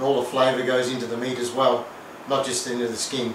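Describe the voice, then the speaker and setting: A man is heard with light background noise and audible room echo. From Australia. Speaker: home cooking video host. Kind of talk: cooking tutorial. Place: kitchen. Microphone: camera far.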